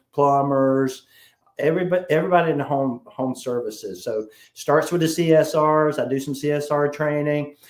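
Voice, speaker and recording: A man speaks with a South Carolina accent. His pitch is fairly high. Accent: Southern US, South Carolina. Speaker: sales trainer. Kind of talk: interview.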